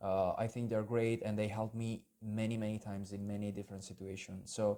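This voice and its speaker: A man speaks in a fairly low, dark and mellow voice with monotone, flat intonation. The recording is very clean, with a silent background. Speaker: YouTuber, would-be language student. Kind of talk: personal video message. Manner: unscripted, halting with fillers.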